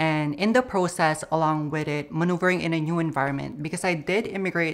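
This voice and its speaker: Very deep, low female voice, its pitch varying in an ordinary way. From Philippines. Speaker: interviewee in pride video. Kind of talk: personal testimony.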